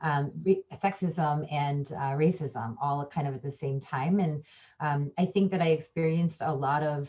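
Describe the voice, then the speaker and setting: Against a quiet background, a woman with a very deep, low pitch and a dark, mellow tone speaks fairly slowly, somewhat breathy, her intonation fairly even. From Chicago area, US. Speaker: professor and diversity trainer. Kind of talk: panel discussion. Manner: hesitant, many fillers.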